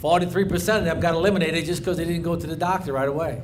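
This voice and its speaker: Audible room echo surrounds a man speaking at a high pitch with fairly even intonation. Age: 60s. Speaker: commercial fisherman. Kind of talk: rally speech.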